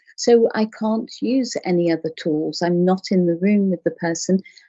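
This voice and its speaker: A woman with an English accent speaks in a gentle tone at a medium pitch. Her pace is moderate, and her pitch varies in an ordinary way. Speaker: clinical hypnotherapist. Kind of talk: interview. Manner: animated when passionate.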